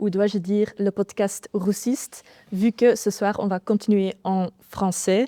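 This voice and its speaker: A woman with a Dutch accent, dark, mellow tone and fairly even intonation at a very slow pace, in a dry, close sound with no echo. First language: Dutch (speaking French). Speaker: podcast host. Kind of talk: podcast interview. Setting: studio. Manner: halting.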